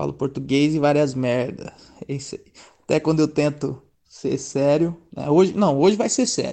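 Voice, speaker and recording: A man with an ordinary speaking voice, fairly high pitch, moderate pace. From Presidente Prudente, São Paulo state, Brazil. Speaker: musician and meme page admin. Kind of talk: casual chat. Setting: voice messages over WhatsApp.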